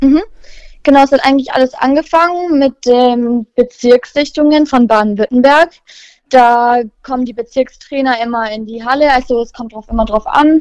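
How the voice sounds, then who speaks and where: The pace is moderate, with ordinary pitch variation and big swings in loudness. The sound is dry and close, with no echo. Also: woman, high pitch for a woman. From Germany, Nürtingen near Stuttgart (Swabia). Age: young. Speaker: basketball player. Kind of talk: interview.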